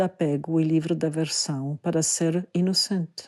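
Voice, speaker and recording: A woman's dark, mellow voice with a non-native accent, at a fairly slow pace, dry and close with no echo against a quiet background. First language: not Portuguese (speaking Portuguese). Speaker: Buddhist teacher and dancer. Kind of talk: podcast talk, spiritual teaching.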